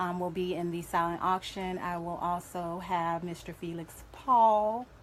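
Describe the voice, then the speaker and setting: Speaking at a fairly slow pace, a woman with a slight Southern US accent keeps a fairly low pitch and fairly even intonation. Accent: slightly country, Southern US. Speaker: domestic violence survivor advocate and event organizer. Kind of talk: live radio interview. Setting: radio studio.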